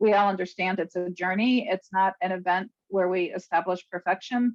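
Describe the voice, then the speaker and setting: At a fairly quick pace, a woman with an American accent speaks at a medium pitch. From US East Coast. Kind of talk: presentation. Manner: fast.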